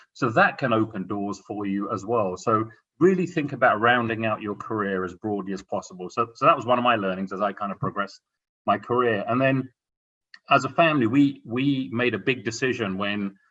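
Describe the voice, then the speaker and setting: With an English accent, a man speaks fairly quickly at a medium pitch. His tone is bright and sharp, with ordinary pitch variation. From England. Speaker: corporate executive panelist. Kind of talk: career advice talk on a panel.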